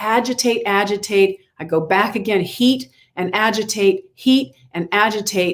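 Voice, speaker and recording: Her medium-pitched voice shows ordinary pitch variation as the woman speaks at a moderate pace. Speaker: movement and dance teacher, author. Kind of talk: podcast interview. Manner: halting with frequent repetitions.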